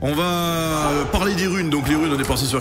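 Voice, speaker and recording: A man talks at a very fast pace with ordinary pitch variation, clear music playing in the background. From Marseille. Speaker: video game streamer. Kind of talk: gameplay commentary. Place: home room. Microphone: studio mic.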